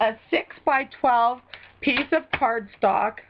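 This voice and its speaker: A woman speaks at a very slow pace. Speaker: craft demonstrator. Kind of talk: live craft tutorial. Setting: live stream. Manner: casual, chatty.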